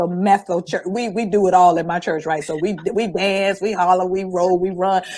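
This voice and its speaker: Over noticeable background noise, a woman talks in an animated tone at a moderate pace with hardly any pauses. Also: medium pitch for a woman. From Florida, Panama City. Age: 60s. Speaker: entrepreneur and vegan lifestyle guest. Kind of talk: casual interview chat.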